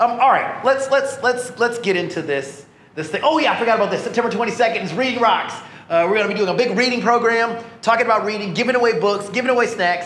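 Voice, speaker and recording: The speech comes at a very fast pace with an animated tone. Audible room echo surrounds it. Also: man, extremely high pitch for a man, ordinary pitch variation. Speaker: pastor. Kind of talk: sermon.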